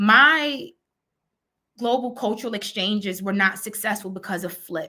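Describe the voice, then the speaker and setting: With a bright, sharp tone, a woman of medium pitch talks at a moderate pace with ordinary pitch variation, on a very clean recording with a silent background. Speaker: educator, conference presenter. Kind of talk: virtual conference presentation.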